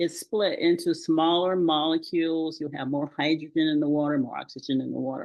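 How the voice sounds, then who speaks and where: A woman's very deep, low voice at a fairly quick pace, with fairly even intonation and hardly any pauses. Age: 70s. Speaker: retired pharmacist, natural health advocate. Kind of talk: podcast interview. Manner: hesitant, many fillers.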